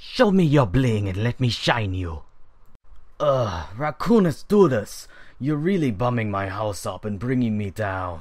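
Putting on a character voice, a man at a medium pitch talks fairly slowly with very wide swings in pitch. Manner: irritable, rude.

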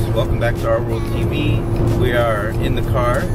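Clear music plays in the background while a man talks at a fairly slow pace. The sound is dry with no echo. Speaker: vlogger. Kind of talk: casual vlog chat. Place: car. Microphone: phone near.

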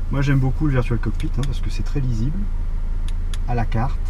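A man talks at a fairly quick pace in a dry recording with no echo and light background noise. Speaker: car reviewer driving. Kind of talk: car review commentary. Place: car. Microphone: camera far.

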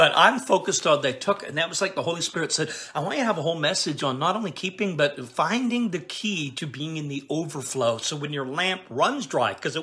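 A man talks very fast in a fairly high pitch. His intonation is lively and his tone animated. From Canada. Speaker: preacher. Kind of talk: live stream Q&A and prayer; sermon. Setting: live stream broadcast. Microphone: phone near.

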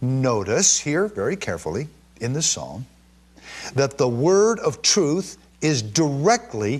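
A man talks at a very slow pace, his fairly high pitch swinging very widely. His voice is somewhat breathy over a quiet background. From Israel. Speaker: bible teacher. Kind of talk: sermon.

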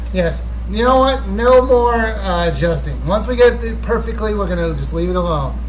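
There is light background noise. A man speaks at a moderate pace. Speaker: YouTube gaming channel host. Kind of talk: casual live Q&A stream. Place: home room. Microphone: webcam.

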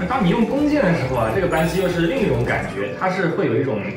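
Clear music plays behind a man talking very fast, and room echo is audible. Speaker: tech reviewer. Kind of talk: commentary. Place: meeting room.

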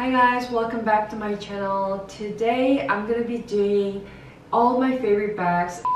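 Fairly slow and fairly high-pitched, a woman speaks amid audible room echo and light background noise. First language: Korean. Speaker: fashion YouTuber. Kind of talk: casual talk to camera. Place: home room.

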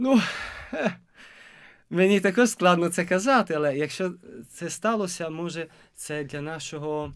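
Over a quiet background, a man with a high pitch talks at a fairly slow pace, with long, frequent pauses, ordinary pitch variation and big swings in loudness. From Italy. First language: Italian (speaking Ukrainian). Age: 20s. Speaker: seminarian; interview guest. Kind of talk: interview; interview answer. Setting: studio. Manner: halting. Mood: warm, smiling. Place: studio. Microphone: studio mic.

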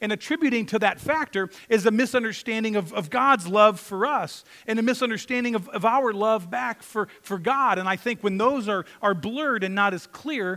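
A man speaks in a raised, projected voice with a bright, sharp tone. His pace is moderate and his pitch varies in an ordinary way. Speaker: pastor. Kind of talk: sermon. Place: church.

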